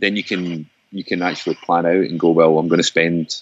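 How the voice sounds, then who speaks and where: With a Scottish accent, a man talks at a moderate pace in a very deep, low pitch and a monotone, flat intonation. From Scotland. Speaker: folk musician and composer. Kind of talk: casual chat. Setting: remote call.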